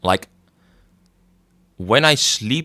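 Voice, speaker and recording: In a slight Dutch accent, a man speaks with very wide pitch swings and a bright, sharp tone. The recording is very clean with a silent background. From Netherlands. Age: 20s. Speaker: gaming streamer. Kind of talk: casual livestream chat.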